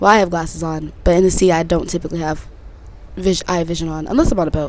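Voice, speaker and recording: A woman's fairly low, animated voice at a fairly quick pace, with noticeable background noise. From Connecticut and Texas, US. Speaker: podcast host. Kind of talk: casual chat.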